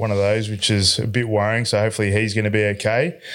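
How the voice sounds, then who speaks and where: Recorded very cleanly against a silent background, a man with an Australian accent speaks at a fairly quick pace in a fairly low voice. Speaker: electrician business owner. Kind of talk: casual chat.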